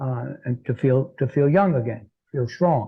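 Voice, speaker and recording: Here a man speaks at medium pitch, somewhat breathy. His pace is moderate. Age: 60s. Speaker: health and transformational coach, author. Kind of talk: interview. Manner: halting, many fillers.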